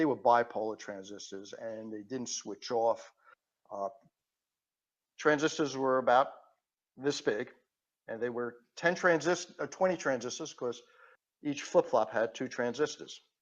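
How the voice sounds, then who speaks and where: Speaking with a New York accent, a man goes at a fairly slow pace with long, frequent pauses, big swings in loudness and ordinary pitch variation. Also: medium pitch for a man. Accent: Queens New York. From New York City (Queens). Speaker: patent attorney and engineer. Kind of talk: podcast interview. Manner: halting.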